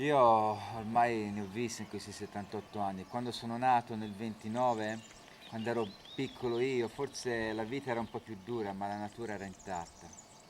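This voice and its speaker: Amid noticeable background noise, a man speaks at a fairly quick pace and medium pitch with fairly even intonation. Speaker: interpreter. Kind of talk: consecutive interpreting.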